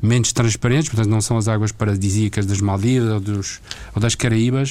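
A man speaks at a medium pitch in a dark, mellow tone, his intonation flat and monotone. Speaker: retired executive, diving school owner. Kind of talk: radio interview. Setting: studio.

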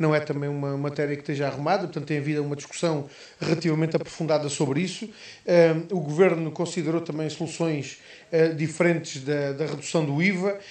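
With audible room echo, the voice moves at a very fast pace and keeps fairly even intonation. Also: man, fairly high pitch for a man. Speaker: politician. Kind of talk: radio interview. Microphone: poor line.

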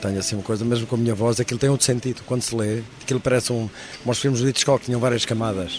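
Noticeable background noise runs under this man's voice. He talks very fast at a medium pitch, in a monotone, flat way. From northern Portugal, Alto Douro (Lamego to Vila Real). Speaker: film director. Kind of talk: interview. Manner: halting, repeats words.

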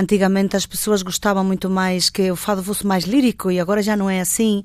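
Using an ordinary speaking voice, a woman speaks at a moderate pace with fairly even intonation. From Galicia, Spain (born in Porto, moved at 10). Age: 50s. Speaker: fado singer. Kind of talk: radio interview.

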